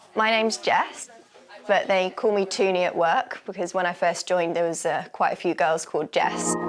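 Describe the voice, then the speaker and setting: Over music in the background, a woman speaks at a moderate pace and medium pitch, with ordinary pitch variation and very even loudness. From England, Warwickshire. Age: 30s. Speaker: cabaret dancer. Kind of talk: interview.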